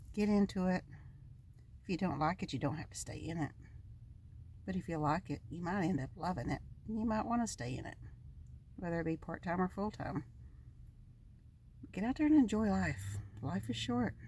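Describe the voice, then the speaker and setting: A woman with an American accent, fairly low in pitch, with vocal fry, very wide pitch swings, a fairly quick pace and long, frequent pauses. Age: 60s. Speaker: van-dwelling vlogger. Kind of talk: casual monologue vlog.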